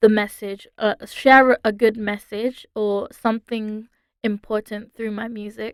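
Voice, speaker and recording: On a very clean recording with a silent background, a woman with a British accent talks very slowly at a fairly high pitch with monotone, flat intonation. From London, England. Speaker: singer-songwriter. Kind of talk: interview. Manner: hesitant, many fillers.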